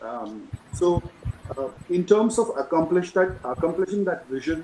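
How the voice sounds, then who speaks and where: A soft-spoken man with a high pitch talks at a fairly slow pace. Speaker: alumnus moderator. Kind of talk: panel discussion. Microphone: too quiet.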